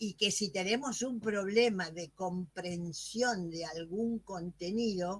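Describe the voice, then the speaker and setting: A woman speaks in a medium pitch with ordinary pitch variation. Her voice is somewhat breathy. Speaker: academic presenter, music educator. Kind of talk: moderated Q&A at a virtual academic session.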